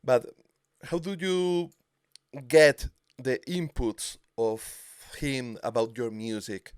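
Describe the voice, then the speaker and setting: A man with a Spanish accent speaks at a very slow pace in a medium pitch, with lively intonation, long, frequent pauses and a dry, close sound with no echo. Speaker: music show host. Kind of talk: interview with translation. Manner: halting in English.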